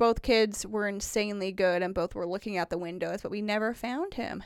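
With a Wisconsin accent, this voice moves at a moderate pace with ordinary pitch variation on a very clean recording with a silent background. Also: woman. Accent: sounds like Wisconsin. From Indiana. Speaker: podcast co-host. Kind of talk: casual chat.

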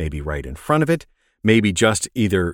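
Upbeat and enthusiastic, a man with a fairly low voice swings very widely in pitch on a very clean recording with a silent background and a dry, close sound with no echo. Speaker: voice actor and tech video maker. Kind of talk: casual interview chat about microphones and home recording. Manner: upbeat, enthusiastic, encouraging.

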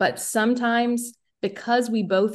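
A woman speaks with a Southern US accent against a quiet background. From US South, rural South Carolina. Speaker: musician and podcaster. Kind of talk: casual chat.

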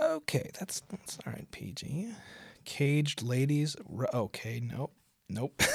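A man with a fairly high pitch speaks at a very slow pace with long, frequent pauses, and his voice is somewhat breathy. His intonation is lively, and the sound is dry and close, with no echo. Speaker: podcast host. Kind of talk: casual monologue. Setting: home recording. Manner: animated; profane.

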